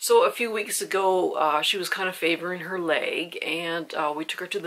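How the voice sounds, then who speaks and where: The pace of this woman's speech is fairly slow. Her voice sits fairly low. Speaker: candle reviewer. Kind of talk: casual vlog chat. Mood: calm, slightly somber. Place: home room.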